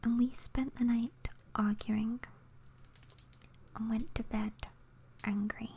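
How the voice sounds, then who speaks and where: Whispering and soft-spoken, the voice moves at a very slow pace with long, frequent pauses. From England. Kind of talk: ASMR story reading. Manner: soft-spoken, whispered.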